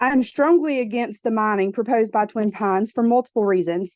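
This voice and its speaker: Speaking with a Southern US accent, a woman keeps a fairly quick pace. Her voice sits fairly high, and her intonation is lively. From US South, southeast Georgia. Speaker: public commenter, local landowner. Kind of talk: public comment.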